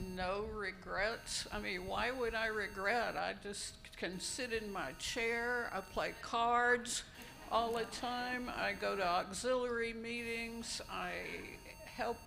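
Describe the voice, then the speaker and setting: With audible room echo and noticeable background noise, a woman speaks very slowly at a fairly high pitch, her intonation fairly even. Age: 70s. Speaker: retired downsizer, panelist. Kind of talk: panel discussion. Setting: conference room with audience.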